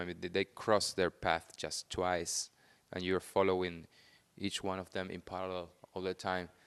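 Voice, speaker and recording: A man with a Spanish accent talks at a moderate pace in a very deep, low pitch. The sound is dry and close with no echo, over a quiet background. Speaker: film director. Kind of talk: interview. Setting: on camera at film festival. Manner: halting.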